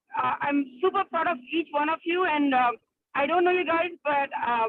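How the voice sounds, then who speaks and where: With an Indian accent, a woman speaks at a high pitch. Her pace is moderate and her pitch variation ordinary. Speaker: psychiatrist. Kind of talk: casual chat. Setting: video call from a car while driving. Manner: halting, many fillers.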